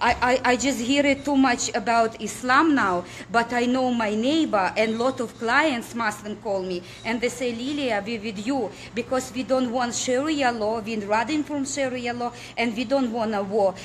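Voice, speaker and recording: A woman speaks in a high pitch with ordinary pitch variation. Noticeable background noise sits behind her. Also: moderate pace. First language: not English. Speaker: political activist. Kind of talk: impassioned appeal to viewers. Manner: halting, with stumbles and repetitions.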